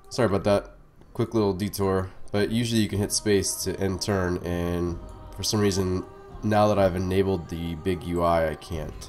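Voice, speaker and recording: Music plays behind a man with a very deep, low pitch. He keeps a moderate pace and fairly even intonation. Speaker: strategy game let's player. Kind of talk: casual gameplay commentary tutorial.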